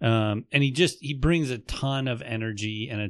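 A man's ordinary speaking voice, fairly slow in pace with ordinary pitch variation, in a very clean recording with a silent background. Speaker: podcast co-host. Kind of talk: casual chat.

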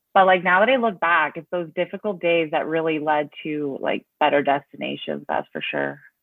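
This woman has an unremarkable speaking voice, fairly low in pitch. Her pace is moderate and her pitch variation is ordinary. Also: hardly any pauses. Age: 30s. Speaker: person in recovery. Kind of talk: casual chat.

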